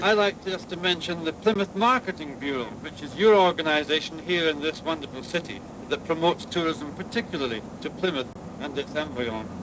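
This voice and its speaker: The speaker moves at a fairly quick pace with lively intonation while noticeable background noise persists. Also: man, fairly high pitch for a man. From Scotland. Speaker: tourism board director. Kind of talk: public speech at ceremony.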